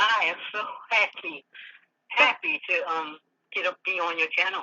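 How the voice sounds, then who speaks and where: A woman talks in a plain, everyday voice at a moderate pace. Her pitch is fairly high and her intonation lively. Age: 60s. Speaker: caller. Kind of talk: phone-in call.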